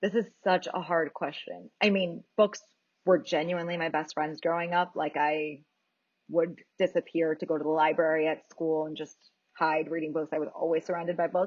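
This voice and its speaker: A woman's voice sits at a fairly low pitch. She keeps to a moderate pace. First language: Spanish. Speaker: audiobook narrator and actor. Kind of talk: interview. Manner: animated.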